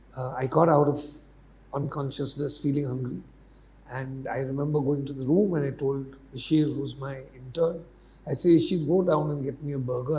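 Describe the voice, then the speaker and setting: Audible room echo surrounds a man's fairly high-pitched, somewhat breathy voice, dark and mellow in tone, with fairly even intonation. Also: moderate pace. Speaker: media mentor and educator. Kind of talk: interview. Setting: university campus podcast.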